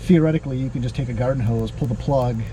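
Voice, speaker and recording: A man talks loudly, with audible room echo and noticeable background noise. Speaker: off-road vehicle channel host. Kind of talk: casual chat. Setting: in a car.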